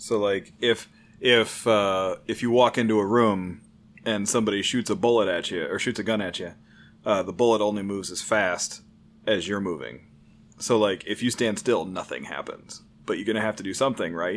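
A man speaks with an ordinary speaking voice at a fairly low pitch and moderate pace. His intonation is fairly even, and the recording is very clean with a silent background. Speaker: IT engineer and gamer. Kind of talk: casual chat.

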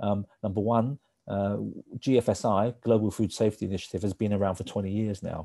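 Dry and close with no echo, this very clean recording with a silent background captures a man speaking fairly quickly in a dark, mellow tone with fairly even intonation. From Hong Kong. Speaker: managing director of an industry organization. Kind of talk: interview. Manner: hesitant with fillers.

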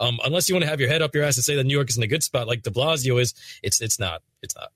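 Somewhat breathy and fairly high-pitched, a man talks at a very fast pace in a dry, close sound with no echo. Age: 20s. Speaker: gaming YouTuber. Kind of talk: casual chat.

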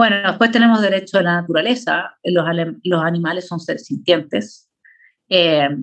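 A woman talks in an ordinary speaking voice at a moderate pace. Her pitch is fairly low and varies an ordinary amount. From Chile. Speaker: political philosopher. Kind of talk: lecture with slides.

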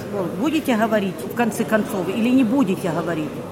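This woman talks very fast at a fairly high pitch. Noticeable background noise and audible room echo fill the recording. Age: 60s. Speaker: volunteer aid centre head, former captive. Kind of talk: testimony interview.

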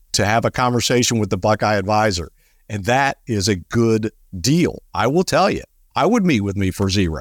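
With a plain, everyday voice, a man speaks at a moderate pace in a fairly low pitch. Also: lively intonation, dry, close sound with no echo, very clean recording, silent background. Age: 50s. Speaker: financial advisor and radio show host. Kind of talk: casual chat.

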